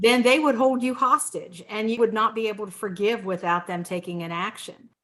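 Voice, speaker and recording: A woman with an ordinary speaking voice, fairly high in pitch, with ordinary pitch variation. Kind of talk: casual talk to camera, faith discussion.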